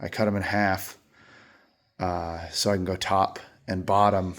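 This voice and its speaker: The speaker is a man. He delivers his words in a monotone, flat intonation. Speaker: lawn care business owner. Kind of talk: casual workshop vlog. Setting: garage. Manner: casual with many fillers.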